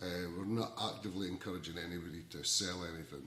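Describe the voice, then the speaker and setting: With a Scottish accent, a man speaks at a fairly quick pace. His pitch is very deep and low, and the room echo is audible. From Scotland. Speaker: ukulele community organizer. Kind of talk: casual talk to camera. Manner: halting, many repeated words.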